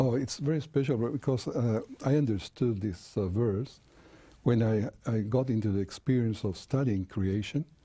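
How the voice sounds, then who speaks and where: With a slight Chilean accent, a man talks at a moderate pace in a medium pitch, his tone dark and mellow, somewhat breathy, with ordinary pitch variation. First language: Spanish. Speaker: creation seminar speaker and engineer. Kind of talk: TV interview. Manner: halting, with repetitions and fillers.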